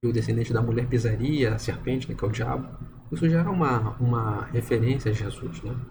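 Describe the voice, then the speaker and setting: Audible room echo surrounds a man who talks at a fairly quick pace with a medium pitch and ordinary pitch variation. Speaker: religious video commentator. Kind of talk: bible study monologue. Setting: at home at night. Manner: soft-spoken; hesitant. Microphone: poor audio.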